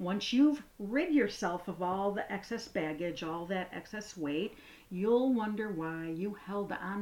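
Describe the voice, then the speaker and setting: A woman with a normal speaking voice talks fairly slowly, with hardly any pauses. Her pitch is medium, with ordinary variation. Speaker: podcast host. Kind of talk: guided meditation. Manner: slow, soothing, calm; gentle, unhurried, with pauses.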